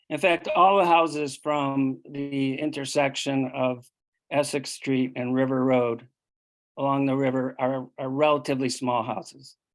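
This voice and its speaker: A man with an American accent speaks at a fairly slow pace. His pitch is fairly high and his intonation fairly even. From Connecticut, US. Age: 60s. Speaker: local resident speaking at public hearing. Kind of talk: public comment at town meeting. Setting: town commission meeting. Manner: hesitant, many fillers.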